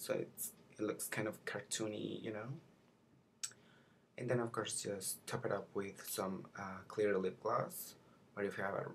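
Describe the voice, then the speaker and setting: A soft-spoken man with a fairly low pitch, a fairly slow pace, long and frequent pauses, and light background noise. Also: ordinary pitch variation. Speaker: makeup vlogger. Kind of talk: tutorial. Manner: halting. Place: home room. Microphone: webcam.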